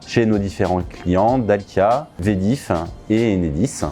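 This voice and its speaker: With music in the background, a man talks at a fairly low pitch with ordinary pitch variation. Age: 30s. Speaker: IT consultant. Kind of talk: corporate interview testimony. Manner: hesitant with frequent fillers and repetitions.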